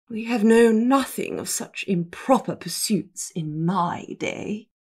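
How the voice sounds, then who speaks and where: A female-sounding voice performs a put-on character voice. Its pitch is fairly high for a woman. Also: fairly slow pace. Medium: read story. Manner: stiff, haughty.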